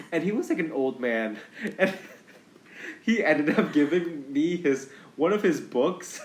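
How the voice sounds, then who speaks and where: Against noticeable background noise, a man with a fairly high pitch and lively intonation speaks at a fairly slow pace, with long, frequent pauses. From Indonesia. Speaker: actor and podcast host. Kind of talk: casual chat.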